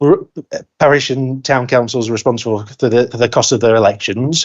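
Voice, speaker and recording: A man speaks with a northern English accent. His pitch sits in the medium range. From northern England. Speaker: council cabinet member. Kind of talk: council meeting debate. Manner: fast.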